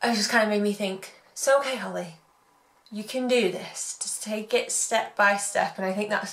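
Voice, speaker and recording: At a moderate pace, a woman with medium pitch talks in an English accent with fairly even intonation. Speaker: blogger and business coach. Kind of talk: vlog.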